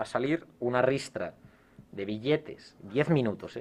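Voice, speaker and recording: A man with an ordinary speaking voice and ordinary pitch variation. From Spain, Castile (Salamanca/Valladolid). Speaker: former exchange student. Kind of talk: casual chat.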